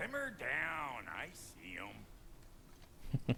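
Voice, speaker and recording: A put-on character voice is heard over clear background noise. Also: man. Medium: video game. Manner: gruff, streetwise.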